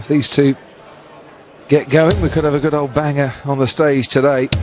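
A man with a British accent, a fairly high pitch and an animated tone, with music in the background. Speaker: darts commentator. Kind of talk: live sports commentary. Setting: commentary box at arena. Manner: animated, fluent, analytical.

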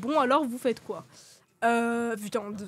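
A woman speaks at a very slow pace. Her pitch is fairly high, with ordinary variation. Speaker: streamer guest. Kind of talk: casual chat. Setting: live stream.

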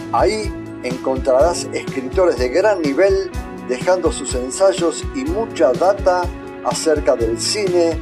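Music plays in the background. Over it, a man talks at a fairly slow pace. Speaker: voice-over announcer. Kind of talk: radio-style advertising spot.

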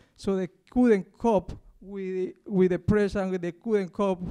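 Against a quiet background, a man with an Ecuadorian accent speaks at a moderate pace and high pitch, his tone dark and mellow and his intonation monotone and flat. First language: Spanish. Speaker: university cleaner and union campaigner. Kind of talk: public talk. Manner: halting. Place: stage. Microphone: handheld.

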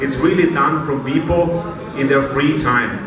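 Noticeable background noise and audible room echo surround a man with an Austrian accent. He speaks fairly slowly at a fairly high pitch, with ordinary pitch variation. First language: German. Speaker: club president. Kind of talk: opening speech. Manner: halting. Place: stage.

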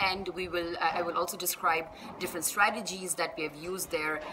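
A woman talks very fast in a fairly low voice with fairly even intonation, over noticeable background noise. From Oman (born in Bangladesh). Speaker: university lecturer; summer school lecturer. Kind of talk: course introduction. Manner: hesitant, many fillers. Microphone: phone near.

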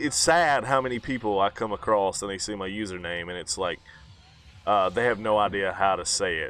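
A man with a fairly low pitch talks in an unremarkable speaking voice, using ordinary pitch variation at a fairly quick pace. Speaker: YouTuber. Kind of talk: casual chat.

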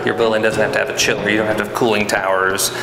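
Clear music runs behind the voice. The speaker is a man. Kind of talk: interview answer. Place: factory. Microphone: lapel.

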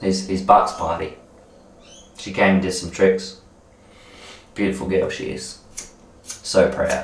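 A man talking at a fairly slow pace, with big swings in loudness and audible room echo. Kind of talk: casual rambling monologue to camera. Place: bathroom. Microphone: camera far.

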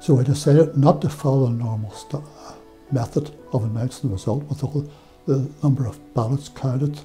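A man with a Derry accent talks at a moderate pace with ordinary pitch variation, faint music playing in the background. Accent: Northern Irish (Derry). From Northern Ireland, Derry; Northern Ireland. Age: 80s+. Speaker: former electoral official. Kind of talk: interview. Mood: calm, proud reflection. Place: studio. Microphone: lapel.

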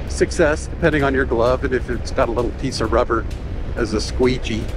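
A man speaks with music in the background. The sound is dry, with no echo. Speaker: motorcycle rider vlogger. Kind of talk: casual ride commentary. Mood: relaxed, wry. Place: motorbike. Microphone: helmet.

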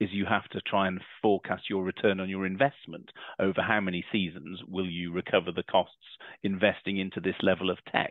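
Recorded with a dry, close sound with no echo, a man speaks at a low pitch.

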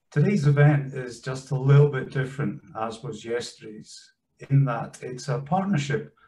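Somewhat breathy, a man speaks at a medium pitch. His tone is dark and mellow, and his pace is moderate. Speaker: events host. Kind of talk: webinar introduction. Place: home room. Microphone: webcam.

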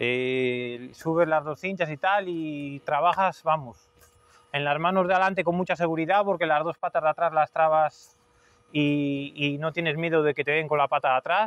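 The sound is dry with no echo as a man speaks at a moderate pace, fairly high in pitch, with fairly even intonation. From Spain, Cantabria (Suances); Cantabria, Spain. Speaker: hoof trimmer. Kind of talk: interview testimonial. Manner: hesitant, many fillers. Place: farm machine.

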